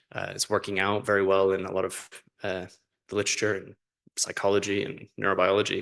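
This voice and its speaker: Over a quiet background, a man talks at a very fast pace with monotone, flat intonation. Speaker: researcher giving conference talk. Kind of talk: conference talk. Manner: hesitant, many fillers.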